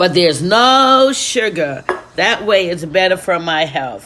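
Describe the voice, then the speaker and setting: Against noticeable background noise, a woman talks at a fairly slow pace in an animated tone with lively intonation. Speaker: children's storyteller. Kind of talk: casual talk to viewers; story time reading for children.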